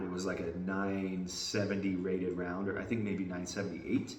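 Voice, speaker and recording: In a room with audible echo and noticeable background noise, a man speaks at a moderate pace in a fairly low pitch. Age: 40s. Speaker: disc golf vlogger. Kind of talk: casual vlog update. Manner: hesitant, many fillers.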